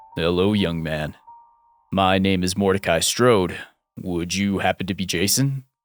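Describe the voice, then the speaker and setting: Over music in the background, a man uses a booming, put-on character voice with a very deep, low pitch, ordinary pitch variation and a moderate pace. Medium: read story. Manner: formal, polite.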